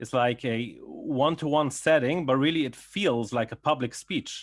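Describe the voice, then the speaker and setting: This is a man speaking with an English accent. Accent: foreign accent, English learned in England. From Belgium. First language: Yiddish. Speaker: psychologist. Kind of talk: interview.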